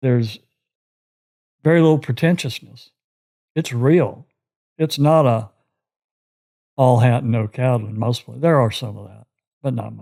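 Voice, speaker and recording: In a Texan accent, a man speaks at a medium pitch and a moderate pace with a dark, mellow tone and ordinary pitch variation. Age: 70s. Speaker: retired commercial real estate broker. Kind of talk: casual interview chat. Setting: in the host's home.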